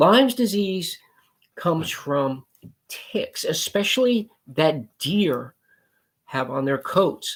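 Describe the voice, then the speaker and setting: His pitch high for a man, this speaker swings very widely in pitch while talking very slowly with long, frequent pauses. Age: 60s. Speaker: pest control business owner. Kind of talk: promotional talk to camera. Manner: casual, conversational.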